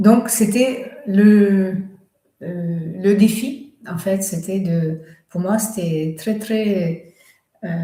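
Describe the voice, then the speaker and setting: Somewhat breathy with a dark, mellow tone, a woman speaks at a very slow pace with long, frequent pauses, and room echo is audible. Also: medium pitch for a woman, ordinary pitch variation. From Russia. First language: Russian (speaking French). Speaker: author and medium. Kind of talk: live stream talk. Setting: live stream. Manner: halting, many fillers.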